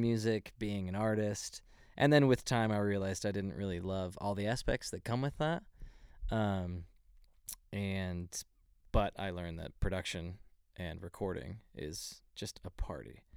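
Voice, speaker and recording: A man with an American accent and an ordinary speaking voice talks at a fairly slow pace with ordinary pitch variation. His loudness swings widely on a very clean recording with a silent background. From Texas, Dallas area. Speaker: music producer and audio engineer. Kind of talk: interview.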